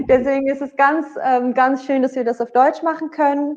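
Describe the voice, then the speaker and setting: At a moderate pace, a woman speaks with a high pitch. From Netherlands, Bergen op Zoom. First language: Dutch (speaking German). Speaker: singer. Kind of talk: interview. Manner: hesitant, many fillers.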